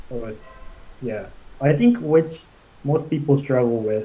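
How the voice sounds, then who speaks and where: With a Japanese accent, a man speaks at a very slow pace in a fairly high voice with a dark, mellow tone and ordinary pitch variation. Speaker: commercial pilot. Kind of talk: interview. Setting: live stream. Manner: halting.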